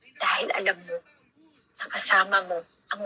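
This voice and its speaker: This is a woman's voice. Her pitch sits in the medium range. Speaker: preacher. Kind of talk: sermon. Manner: loud; animated.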